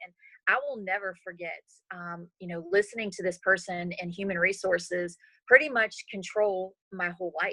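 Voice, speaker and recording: The voice carries an American accent and a bright, sharp tone at a moderate pace with fairly even intonation. The sound is dry and close, with no echo. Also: woman. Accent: slight country. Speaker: network marketing leader. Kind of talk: interview. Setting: video call.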